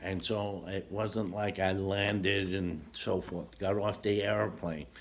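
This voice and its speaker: A man with an American accent speaks at a very slow pace and fairly low pitch. His intonation is fairly even, with vocal fry. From New York, Brooklyn. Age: 80s+. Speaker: war veteran. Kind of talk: interview. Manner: halting.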